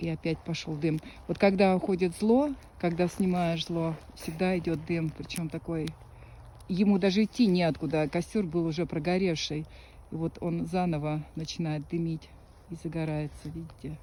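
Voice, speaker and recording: Her tone dark and mellow, a woman speaks with a fairly low pitch. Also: fairly even intonation, moderate pace. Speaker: psychic healer performing rituals. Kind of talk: casual commentary during a filmed ritual.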